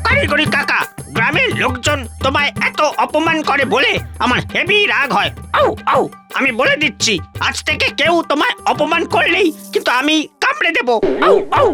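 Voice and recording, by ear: A cartoonish character voice with a bright, sharp tone and big pitch swings moves at a moderate pace with few pauses. Faint music plays in the background.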